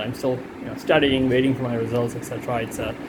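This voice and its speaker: A man with a non-native accent talks at a very fast pace and medium pitch. Audible room echo and noticeable background noise surround his voice. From India. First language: not English. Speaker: student. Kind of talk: self-assessment monologue. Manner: halting, many fillers.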